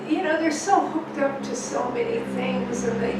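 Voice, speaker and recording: A woman talks at a moderate pace. Room echo is audible, and background noise is noticeable. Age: 80s+. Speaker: author. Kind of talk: casual chat. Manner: animated.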